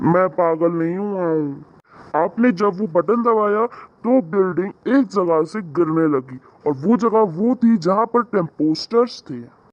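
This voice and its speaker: A man uses a cartoonish character voice with a high pitch. He talks at a moderate pace. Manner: cheerful, polite.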